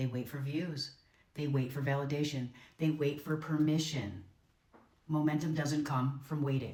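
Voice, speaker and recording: Confident in tone, a woman speaks at a very deep, low pitch with a dark, mellow quality and somewhat breathy delivery. Her pace is moderate and her pitch variation ordinary, with audible room echo around her. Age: 50s. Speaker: content creator. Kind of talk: scripted monologue.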